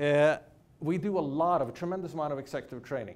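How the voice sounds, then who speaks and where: Audible room echo surrounds this voice. A man with a Swedish accent talks at a very fast pace. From Sweden. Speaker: business professor. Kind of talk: keynote lecture. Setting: lecture hall with audience.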